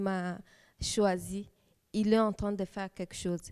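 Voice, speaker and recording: Speaking with a Kisangani accent, a woman has a medium pitch and a dark, mellow tone. Her intonation stays fairly even at a moderate pace. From DR Congo, Kisangani. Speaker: church youth leader, lawyer. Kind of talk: testimony. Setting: TV studio. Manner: halting.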